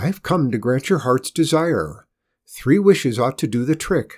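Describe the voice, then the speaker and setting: In a put-on character voice at a medium pitch, a man talks at a moderate pace in a very clean recording with a silent background. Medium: read story. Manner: gracious but overbearing.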